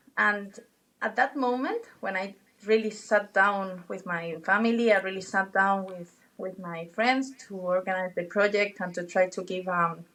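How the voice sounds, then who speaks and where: A woman with a non-native accent speaks at a fairly slow pace and a medium pitch. Her tone is bright and sharp, and her loudness swings widely. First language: not English. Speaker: travel guide and former pharmacist. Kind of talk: interview conversation. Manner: animated; halting, with false starts.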